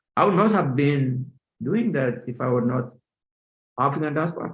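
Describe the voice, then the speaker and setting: A somewhat breathy male voice at a medium pitch. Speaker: finance professor. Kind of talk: interview. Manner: halting, many fillers.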